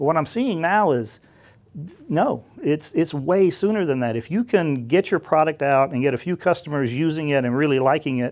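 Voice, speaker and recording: Speaking with an American accent, a man uses a fairly high pitch and lively intonation at a moderate pace. The background is quiet. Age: 50s. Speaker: tech dealmaker and entrepreneur. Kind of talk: interview. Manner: casual, hesitant with fillers.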